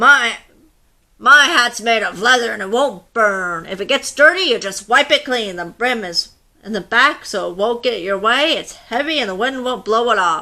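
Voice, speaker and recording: A woman's put-on character voice with lively intonation, a fairly high pitch and a moderate pace. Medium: read story.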